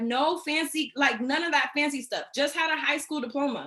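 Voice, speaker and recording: Raised and projected, a woman's bright, sharp, high-pitched voice moves at a moderate pace with ordinary pitch variation. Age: 20s. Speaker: network marketing executive. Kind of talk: training presentation. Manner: animated.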